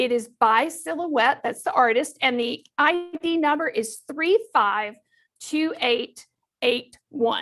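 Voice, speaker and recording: In a Southern US accent, the speaker moves at a very slow pace with lively intonation. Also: woman, high pitch for a woman. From Texas. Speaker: crafting instructor. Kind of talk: tutorial. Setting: studio.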